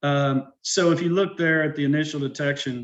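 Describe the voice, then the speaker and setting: A man is speaking. He has an Arkansas accent. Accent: Arkansas Southern. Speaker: urban forester. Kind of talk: presentation. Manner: casual, with frequent fillers.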